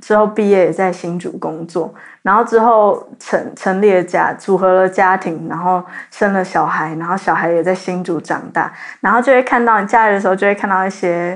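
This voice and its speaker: A woman speaks in an unremarkable speaking voice at a medium pitch. Her pace is moderate and her intonation fairly even. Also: quiet background. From Taiwan, New Taipei (Zhonghe). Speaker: university student. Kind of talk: casual chat.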